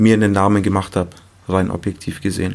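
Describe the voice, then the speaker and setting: Pitched fairly low, a man talks at a moderate pace. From Munich, Germany. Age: 20s. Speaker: music producer. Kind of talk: casual chat.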